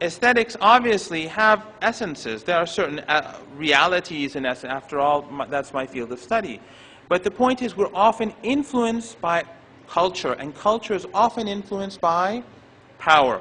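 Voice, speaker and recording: A man with a high voice speaks in a raised, projected way, his pitch swinging very widely. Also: moderate pace. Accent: non-native. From Iran. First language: not English. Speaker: professor. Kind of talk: lecture. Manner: halting.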